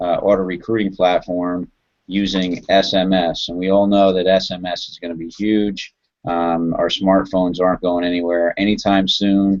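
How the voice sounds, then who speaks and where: A man with a plain, everyday voice talks in an American accent. His pitch is fairly low and his pace moderate. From New Jersey. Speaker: online marketer. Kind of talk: sales pitch. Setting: video call.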